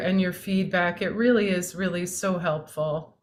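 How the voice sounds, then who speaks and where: Over a silent background in a very clean recording, a woman with an American accent speaks at a fairly slow pace. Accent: American English, native. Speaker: meditation facilitator. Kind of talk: casual chat.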